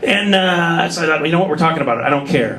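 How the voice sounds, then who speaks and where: A man with an American accent is heard over noticeable background noise and audible room echo. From Minnesota. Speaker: stand-up comedian. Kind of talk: stand-up. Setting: stage with audience. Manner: animated.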